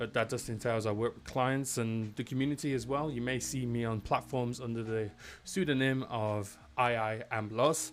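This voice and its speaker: A man's unremarkable speaking voice, medium in pitch, at a moderate pace. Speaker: head of professional services hosting a webinar. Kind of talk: live-streamed technical webinar, casual chat. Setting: live stream from a home studio. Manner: casual, chatty.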